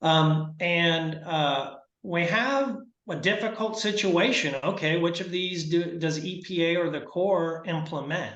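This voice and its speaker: Audible room echo carries a man's high-pitched voice. He speaks at a fairly slow pace with ordinary pitch variation. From Arkansas. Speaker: environmental lawyer. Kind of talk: presentation. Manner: halting, many fillers.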